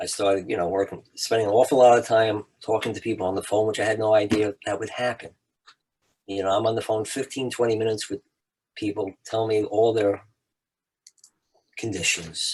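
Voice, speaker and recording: This man has an American accent and a fairly low pitch, talking at a fairly quick pace in a monotone, flat delivery that is somewhat breathy. Long, frequent pauses break up his speech. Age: 70s. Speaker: podcast host, CBD business owner. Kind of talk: casual interview chat.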